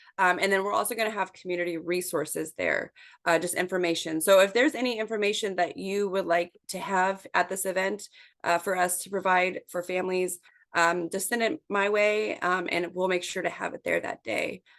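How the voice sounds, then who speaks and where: A woman talks at a fairly quick pace over a quiet background. Her medium-pitched voice holds a fairly even intonation. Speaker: community coalition coordinator. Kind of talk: virtual meeting presentation. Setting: video call. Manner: fast.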